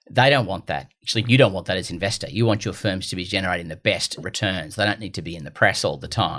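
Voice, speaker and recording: In an Australian accent, a bright, sharp voice races at a very fast pace with hardly any pauses, big swings in loudness and ordinary pitch variation. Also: man, very deep, low pitch for a man. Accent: Gold Coast Australian. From Australia, Gold Coast. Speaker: investment firm CEO. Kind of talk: podcast interview.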